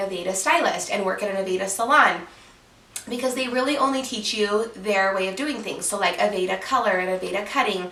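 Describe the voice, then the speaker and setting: Animated and fairly quick, a woman with an American accent speaks with ordinary pitch variation amid audible room echo and noticeable background noise. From Utah. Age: 20s. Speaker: hairstylist and YouTuber. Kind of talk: casual Q&A vlog. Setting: at home, sitting on bed. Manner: chatty, animated.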